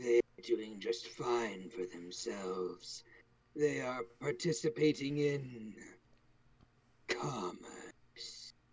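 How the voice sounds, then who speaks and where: In a raspy, put-on character voice of medium pitch, a man speaks at a very slow pace with lively intonation and long, frequent pauses. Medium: actual play. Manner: cold, detached.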